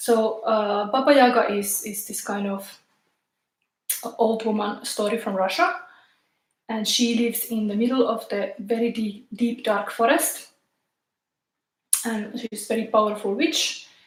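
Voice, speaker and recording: Speaking at a fairly slow pace with long, frequent pauses, a woman uses a fairly high pitch and ordinary pitch variation, with audible room echo around her. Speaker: tarot reader. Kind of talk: live tarot reading. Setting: live stream in tarot room. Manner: halting.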